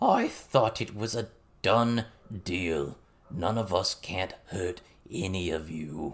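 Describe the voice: A croaky, put-on character voice moves slowly and makes big pitch swings.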